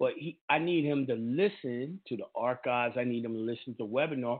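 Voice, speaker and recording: This man has an ordinary speaking voice, pitched in the medium range. He talks at a moderate pace with ordinary pitch variation. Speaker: call-in show host. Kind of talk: call-in Q&A. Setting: studio. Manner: casual, slangy.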